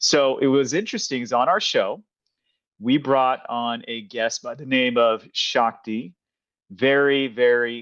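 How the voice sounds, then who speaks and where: An unremarkable speaking voice from a man with an American accent, medium in pitch, fairly even in intonation, at a fairly slow pace. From Kansas, US. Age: 40s. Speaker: podcast host. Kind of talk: casual interview.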